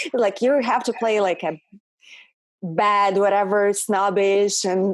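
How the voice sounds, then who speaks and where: A woman speaks with a Russian accent at a moderate pace. The recording is very clean, with a silent background. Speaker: actress and model. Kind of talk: interview conversation.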